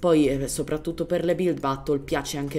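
This woman keeps a fairly quick pace. Her tone is dark and mellow. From Germany. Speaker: gaming youtuber. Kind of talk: gameplay tutorial. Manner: casual, hesitant.

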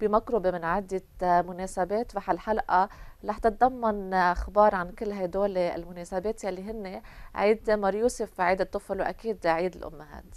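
Her pace is fairly slow, and the woman's intonation stays fairly even. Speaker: TV presenter. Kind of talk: TV show hosting and storytelling. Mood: warm, smiling. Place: studio. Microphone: lapel.

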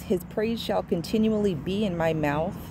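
A woman talks at a moderate pace in a warm, dark, mellow tone with ordinary pitch variation, her dry sound carrying no echo over light background noise. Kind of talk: informal devotional teaching. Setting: outdoors near a road. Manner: casual and warm. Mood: earnest, devotional. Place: open country. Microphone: phone near.

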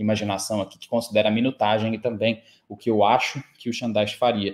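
Speaking at a moderate pace, a man talks at a medium pitch. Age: 30s. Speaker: football pundit; football channel host. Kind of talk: solo sports analysis video. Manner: casual, animated. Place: home room.

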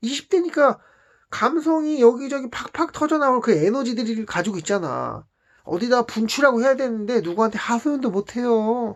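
Against a quiet background, a man speaks at a moderate pace. His pitch is extremely high and his intonation lively. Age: 40s. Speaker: vlogger. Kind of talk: personal storytelling monologue. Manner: casual, conversational.

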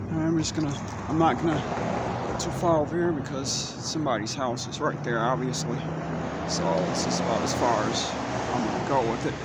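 A man's fairly quick speech with ordinary pitch variation, dry and echo-free, against loud background noise. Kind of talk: casual vlog chat. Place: street. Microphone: phone near.

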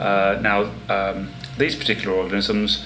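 This man has an English Midlands accent and a fairly low pitch. Background noise is noticeable, and room echo is audible. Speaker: marine biologist. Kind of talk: interview. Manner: hesitant, with fillers.

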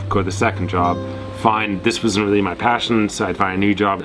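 A man with a fairly low pitch talks at a fairly quick pace over clear music in the background. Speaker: sailing vlogger. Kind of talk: casual vlog chat. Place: boat. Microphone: phone near.

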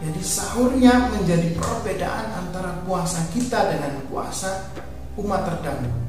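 A man at a fairly slow pace in strong room echo, with clear music in the background. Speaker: religious teacher. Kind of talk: sermon. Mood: calm, earnest. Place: studio.

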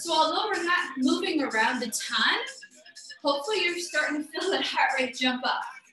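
Over music in the background and audible room echo, a woman speaks at a moderate pace. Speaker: fitness instructor. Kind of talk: workout class instruction. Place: home room. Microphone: camera far.

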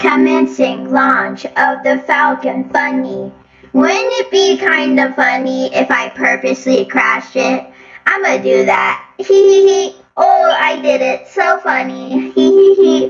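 In a put-on character voice, the speaker goes at a fairly slow pace, with slight echo and faint music in the background. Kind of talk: comic overacting. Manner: giggly, childishly pleased.

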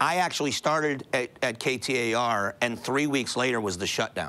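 With an American accent, a man talks in a bright, sharp tone with lively intonation. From Florida (Fort Myers); Florida. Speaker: radio talk show host. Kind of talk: casual chat. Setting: studio. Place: studio.

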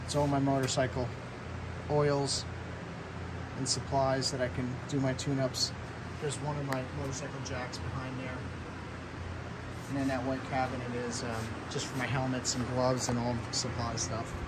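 A man at a moderate pace with long, frequent pauses, amid loud background noise. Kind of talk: casual vlog chat. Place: garage. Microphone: phone near.

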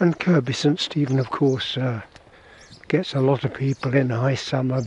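Fairly slow, fairly even speech from a man, with a dry sound with no echo and light background noise. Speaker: hiker vlogger. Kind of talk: casual walking commentary. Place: street. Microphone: camera far.

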